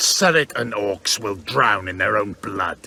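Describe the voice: Using a put-on character voice, a man speaks slowly at a fairly low pitch in a bright, sharp tone with vocal fry and lively intonation.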